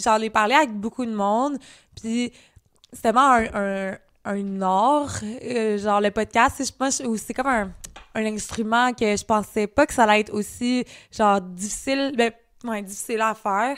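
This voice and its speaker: On a very clean recording with a silent background, a woman speaks with a fairly high pitch at a fairly slow pace. Her intonation is fairly even, her loudness swings widely, and long pauses come often. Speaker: podcast co-host; self-employed worker. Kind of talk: casual chat.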